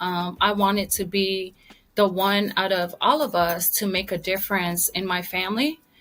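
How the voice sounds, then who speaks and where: In a Samoan accent, a woman speaks fairly slowly at a medium pitch with a bright, sharp tone. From American Samoa. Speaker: retired army veteran and author. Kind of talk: interview.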